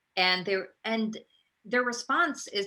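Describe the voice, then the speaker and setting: Talking very slowly, a woman with an American accent uses a medium pitch and a bright, sharp tone. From India-born, raised US East Coast and Midwest. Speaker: actress and playwright. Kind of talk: interview testimony. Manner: halting.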